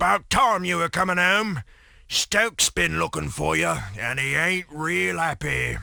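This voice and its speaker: A man puts on a character voice at a fairly high pitch and a moderate pace, in a very clean recording with a silent background. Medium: video game. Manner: blunt, folksy.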